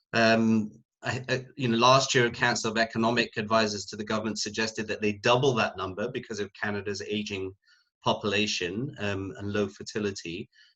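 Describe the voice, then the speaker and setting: A man with a British accent, bright and sharp in tone, fairly low in pitch, at a fairly quick pace with fairly even intonation. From UK. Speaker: sociology professor. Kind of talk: panel discussion.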